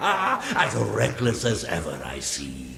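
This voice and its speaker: This man puts on a character voice that is very deep and low. He speaks at a very slow pace. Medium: video game. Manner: slow, solemn, wise.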